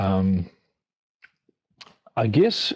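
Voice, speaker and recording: This man speaks with a New Zealand accent. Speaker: biblical archaeology lecturer. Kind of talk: interview.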